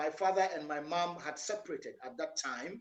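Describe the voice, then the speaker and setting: A man with a high pitch and a Ghanaian accent, at a fairly slow pace. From northern Ghana (Tamale, Yendi) and Accra. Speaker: entrepreneur, business owner. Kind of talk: interview. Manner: soft-spoken. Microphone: too quiet.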